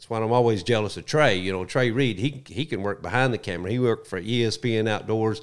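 With a Southern US accent, a man speaks at a very fast pace with a fairly low pitch and ordinary variation, on a very clean recording with a silent background. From US South. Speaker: retired wildlife agency spokesman. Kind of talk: casual chat. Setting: studio.

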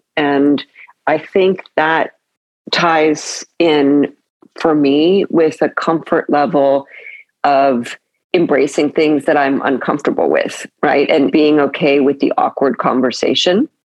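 Speaking very slowly, a woman uses a very deep, low voice with an American accent. Her intonation stays fairly even and her loudness very even. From California. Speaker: podcast host. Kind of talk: interview.

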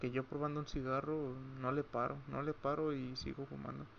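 A man of medium pitch talks at a moderate pace in a monotone, flat intonation. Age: 20s. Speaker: podcaster. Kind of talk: personal monologue. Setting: at home late at night. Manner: halting.

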